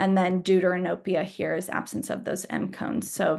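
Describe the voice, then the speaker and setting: Vocal fry runs through this woman's voice. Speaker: optometrist giving a training lecture. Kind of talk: lecture. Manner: fast.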